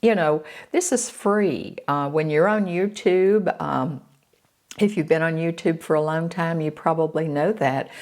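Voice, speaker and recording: Against a very clean recording with a silent background, a woman with an American accent speaks at a very slow pace with ordinary pitch variation. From Florida. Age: 70s. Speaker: beauty vlogger. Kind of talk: casual chat. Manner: halting, many fillers.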